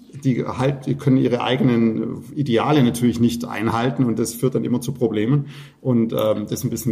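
A man's medium-pitched voice at a fairly quick pace, over noticeable background noise. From Swabia, Württemberg (Fellbach near Stuttgart). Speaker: winemaker. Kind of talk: casual chat.

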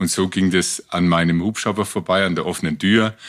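On a very clean recording with a silent background, a man talks at a moderate pace. His pitch shows ordinary variation. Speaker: rescue helicopter pilot. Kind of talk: storytelling interview. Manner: lively.

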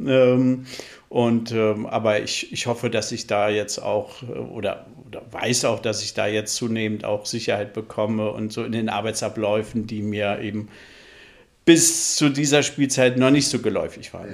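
A man in a normal speaking voice talks at medium pitch with fairly even intonation. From northern Germany (Flensburg). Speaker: theatre dramaturge. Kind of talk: podcast interview.

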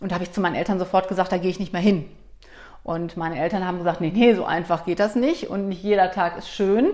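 Pitch variation is ordinary, while the delivery runs at a very fast pace. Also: woman. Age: 40s. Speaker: company director and coach. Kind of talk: interview conversation.

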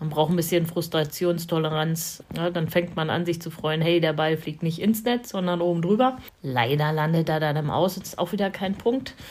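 An unremarkable speaking voice from a woman, fairly low in pitch, at a moderate pace. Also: ordinary pitch variation, hardly any pauses. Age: 50s. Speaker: blind tennis player, police administrative employee. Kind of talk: interview.

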